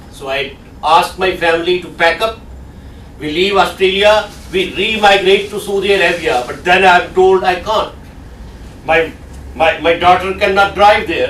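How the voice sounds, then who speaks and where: At a high pitch, a man speaks at a moderate pace with fairly even intonation and long, frequent pauses, amid noticeable background noise and audible room echo. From Pakistan. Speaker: guest lecturer. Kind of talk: lecture.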